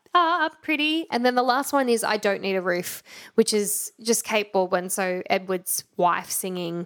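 Lively intonation marks a woman's fairly high-pitched speech. She goes at a fairly slow pace in a very clean recording with a silent background. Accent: Australian. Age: 30s. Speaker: podcast host, musical theatre enthusiast. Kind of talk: casual chat.

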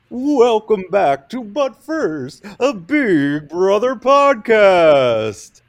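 A man uses a put-on character voice with high pitch and very wide pitch swings. He talks at a very slow pace with hardly any pauses. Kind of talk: announcer.

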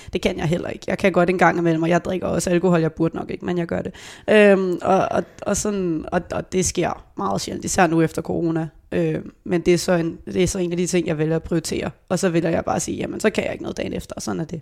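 A woman talks very fast in a fairly low voice with vocal fry. Her intonation stays fairly even. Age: 20s. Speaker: veterinary student. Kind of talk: casual chat. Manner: halting.

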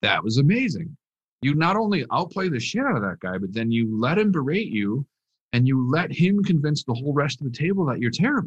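In a dry, close recording with no echo, a man with an American accent talks at a very fast pace, his fairly high, somewhat breathy voice swinging very widely in pitch. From Minnesota. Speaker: professional poker player and coach. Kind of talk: casual interview.

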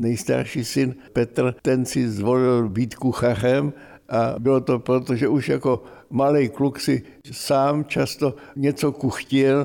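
Speaking at a very slow pace, a man with a medium pitch and a dark, mellow tone keeps his intonation fairly even and his loudness very even. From Czech Republic, Chrudim. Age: 90s. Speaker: retired civil engineer and local historian. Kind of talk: interview. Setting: archive room.

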